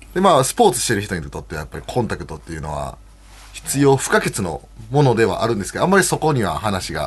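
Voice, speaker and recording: At a very fast pace, a man with vocal fry and medium pitch makes very wide pitch swings and big swings in loudness. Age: 40s. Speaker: professional wrestler. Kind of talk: casual chat.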